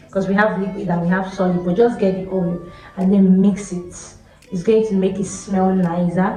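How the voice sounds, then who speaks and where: A female speaker keeps a medium tempo while room echo is audible and background noise is noticeable. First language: not English. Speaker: hair care YouTuber. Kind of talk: tutorial. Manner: chatty, conversational.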